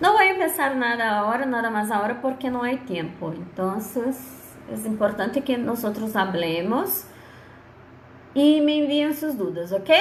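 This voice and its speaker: A woman speaks slowly-ish, at a fairly slow pace, with a fairly high pitch and very wide pitch swings. Audible room echo and noticeable background noise surround her. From Brazil. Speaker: law lecturer. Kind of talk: online lecture.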